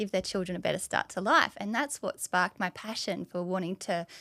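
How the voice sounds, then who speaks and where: With an Australian accent, a woman speaks at medium pitch with ordinary pitch variation in a dry, close sound with no echo. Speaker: dietitian. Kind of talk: podcast interview.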